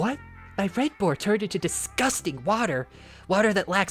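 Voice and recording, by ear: A passage read aloud in a natural voice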